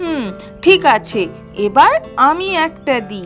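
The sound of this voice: In a cartoonish character voice, a woman speaks slowly at a high pitch with big pitch swings, with faint music in the background.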